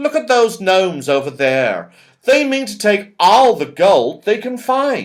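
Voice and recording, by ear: A man's put-on character voice, high in pitch with big pitch swings, at a slow pace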